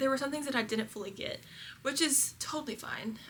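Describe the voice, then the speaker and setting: With a Southern US accent and ordinary pitch variation, a woman talks over noticeable background noise. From Kentucky, US South. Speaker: lifestyle vlogger. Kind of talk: casual vlog chat. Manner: animated.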